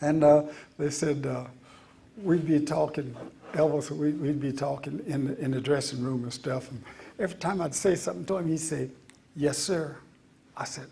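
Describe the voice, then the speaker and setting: The man's pitch is fairly high. Room echo can be heard. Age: 80s+. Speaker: retired soul singer. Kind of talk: storytelling talk to an audience. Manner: halting with fillers.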